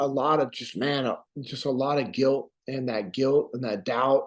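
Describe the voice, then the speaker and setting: Here is a man with an American accent at a medium pitch. He moves at a moderate pace with monotone, flat intonation. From Sacramento, California. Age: 40s. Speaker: war veteran. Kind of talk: podcast interview.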